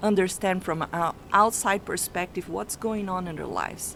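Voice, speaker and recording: Someone with a non-native accent speaks at a moderate pace with fairly even intonation. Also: woman. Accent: foreign accent, noticeable. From Brazil. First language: not English (English is her third language). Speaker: family constellation coach. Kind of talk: radio interview. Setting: radio studio.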